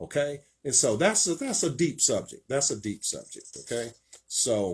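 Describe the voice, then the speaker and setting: A man talks at a fairly slow pace with a somewhat breathy voice. His intonation is lively. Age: 60s. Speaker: preacher and show host. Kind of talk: sermon. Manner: hesitant, many fillers.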